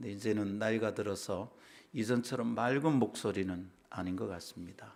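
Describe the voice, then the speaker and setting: This man's pitch is fairly low. His pitch varies in an ordinary way. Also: moderate pace. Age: 60s. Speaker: pastor. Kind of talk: sermon.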